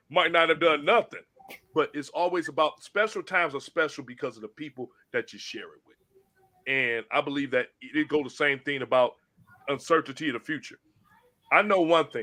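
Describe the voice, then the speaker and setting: A man with a fairly high, bright, sharp voice speaks at a fairly quick pace, broken by long, frequent pauses and big swings in loudness. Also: ordinary pitch variation. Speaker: podcast host. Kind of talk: casual chat.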